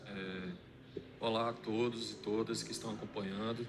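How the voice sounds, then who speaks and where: In a room with audible echo, a man of medium pitch talks at a fairly slow pace with fairly even intonation. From Bahia, Brazil (Irecê). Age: 30s. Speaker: author, poet. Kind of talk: interview. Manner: hesitant, many fillers.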